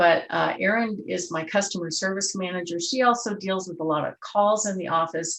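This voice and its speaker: A woman has a plain, everyday voice at a medium pitch. Her pace is moderate and her pitch variation ordinary. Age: 60s. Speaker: real estate agent. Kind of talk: interview.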